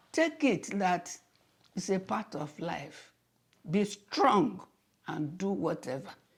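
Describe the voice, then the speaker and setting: At a very slow pace with long, frequent pauses, a woman talks in a fairly low, somewhat breathy voice with lively intonation. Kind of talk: interview answer.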